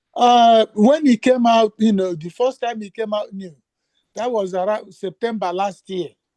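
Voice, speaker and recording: Speaking at a fairly slow pace, a man has a dark, mellow tone and ordinary pitch variation, recorded with a dry, close sound and no echo. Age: 70s. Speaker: caller at a question and answer session. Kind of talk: question and answer session. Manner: halting.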